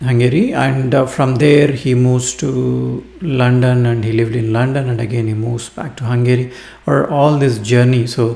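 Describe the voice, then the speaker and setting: Words come at a fairly slow pace in an Indian accent, with ordinary pitch variation. Room echo is audible. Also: man. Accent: Indian English (Telugu). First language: Telugu. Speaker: book reviewer. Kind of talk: book review monologue. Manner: halting, many fillers.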